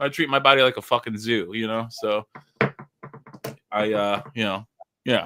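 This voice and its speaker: The speech moves at a moderate pace with music playing in the background. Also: man. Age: 40s. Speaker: live-stream host. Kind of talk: casual chat.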